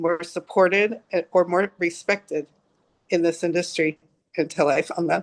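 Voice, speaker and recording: A woman with a normal speaking voice talks at a moderate pace in a fairly low pitch with fairly even intonation and a dry, close sound with no echo. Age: 60s. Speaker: pet groomer. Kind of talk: interview.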